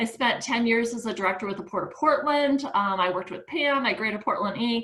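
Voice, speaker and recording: Over noticeable background noise, a woman with a fairly high pitch and ordinary pitch variation speaks at a fairly quick pace. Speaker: nonprofit founder and chair. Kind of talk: presentation on a video call.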